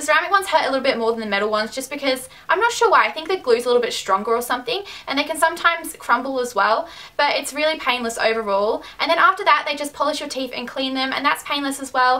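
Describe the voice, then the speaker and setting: Raising and projecting her voice, a woman talks at a very fast pace with a high pitch and lively intonation over noticeable background noise. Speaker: beauty and lifestyle vlogger. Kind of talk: casual vlog advice.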